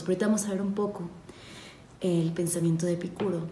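Amid noticeable background noise and audible room echo, a woman with a fairly low pitch speaks with fairly even intonation. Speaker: podcast host. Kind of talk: ASMR-style philosophy reading. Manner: soft, calm and slow; hesitant, many fillers.

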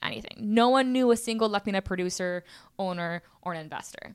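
An American-accented woman speaks at medium pitch and a moderate pace, animated, with ordinary pitch variation. The recording is very clean, the background silent. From Houston, Texas. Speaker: entrepreneur, founder of a creative community. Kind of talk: casual interview chat.

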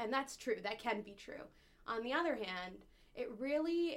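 Ordinary pitch variation marks this voice with a Canadian accent. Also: woman. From Canada, Ottawa. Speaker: labour lawyer and activist. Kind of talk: casual chat.

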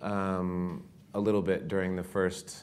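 In a room with audible echo, a man talks at a fairly slow pace in a very deep, low voice with a monotone, flat intonation. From US Southwest. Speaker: author, former border patrol agent. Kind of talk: live interview before an audience.

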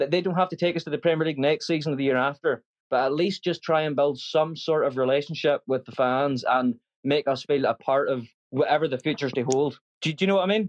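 In a Northern Irish accent, a man talks at a very fast pace with a fairly high pitch and ordinary pitch variation, the sound dry and close with no echo. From Northern Ireland. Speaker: football fan caller. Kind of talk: casual chat.

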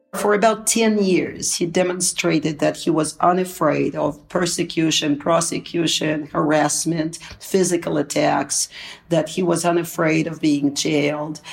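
A woman speaks at a fairly slow pace with a Russian accent. Her pitch is fairly low and her intonation fairly even. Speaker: academic and political analyst. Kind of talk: interview.

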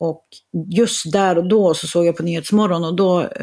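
Speaking with fairly even intonation, a woman of fairly low pitch has a dark, mellow tone and a moderate pace. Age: 50s. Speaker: author and entrepreneur. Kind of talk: casual chat.

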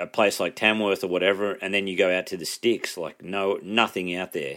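A man talks at a fairly quick pace with an Australian accent. His intonation stays fairly even. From rural New South Wales, Australia. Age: 30s. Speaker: comedian. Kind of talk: casual chat.

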